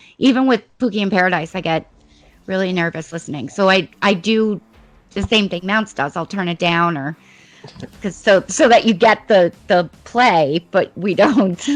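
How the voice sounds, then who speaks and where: An unremarkable speaking voice from a woman, medium in pitch with ordinary pitch variation, at a moderate pace. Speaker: podcast co-host. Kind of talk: casual chat.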